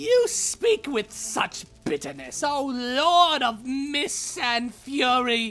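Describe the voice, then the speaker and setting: With faint music in the background, a female-sounding, high-pitched put-on character voice delivers lines in a theatrical tone at a very slow pace with hardly any pauses. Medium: audio drama. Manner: theatrical, mocking.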